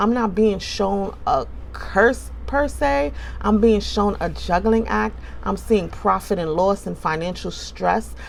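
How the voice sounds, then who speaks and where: Audible echo fills the room. Within it, a woman speaks very slowly. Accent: New York. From New York City (Bronx), born in the Caribbean. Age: 40s. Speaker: tarot reader. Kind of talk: tarot reading monologue. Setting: indoors by an open window. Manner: casual, conversational.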